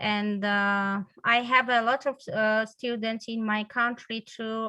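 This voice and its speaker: A woman with a Georgian accent speaks at a fairly slow pace with a fairly high pitch. Her tone is bright and sharp, her intonation fairly even, against a quiet background. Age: 40s. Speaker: English teacher. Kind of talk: interview. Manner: halting, many fillers.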